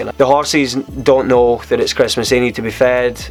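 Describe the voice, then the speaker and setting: With music in the background, a man with a Scottish accent talks at a fairly quick pace in fairly even intonation. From Scotland. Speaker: vlogger. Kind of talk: casual vlog storytelling. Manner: conversational, halting.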